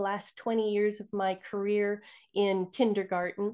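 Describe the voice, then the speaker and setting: Over a quiet background, the speaker goes at a fairly slow pace. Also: woman. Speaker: retired kindergarten teacher, toxin reduction advocate. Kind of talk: interview conversation. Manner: kindergarten-teacher voice.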